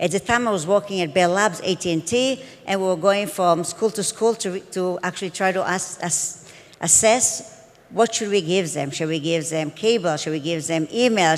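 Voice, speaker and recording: A woman with a non-native accent and medium pitch speaks at a moderate pace with ordinary pitch variation over noticeable background noise. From Israel. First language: Hebrew. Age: 50s. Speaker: edtech entrepreneur. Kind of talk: conference talk.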